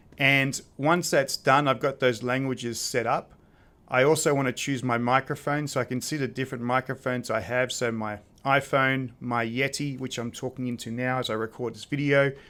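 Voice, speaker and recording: With an Australian accent, a man speaks at a moderate pace and medium pitch. His tone is bright and sharp, his intonation monotone and flat. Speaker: presentation skills tutor. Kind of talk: software tutorial. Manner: casual, with filler words.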